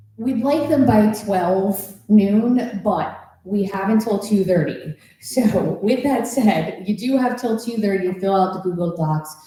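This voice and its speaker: The speaker has an American accent and talks at a fairly slow pace with ordinary pitch variation. Noticeable background noise and audible room echo are present. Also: woman, medium pitch for a woman. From New Jersey. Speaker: school district forum facilitator. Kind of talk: public meeting announcements. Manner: loud.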